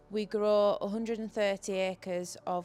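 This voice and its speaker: A woman speaks in a Cumbrian accent with music in the background. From northern England, Cumbria. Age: 20s. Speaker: farmer. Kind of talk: interview.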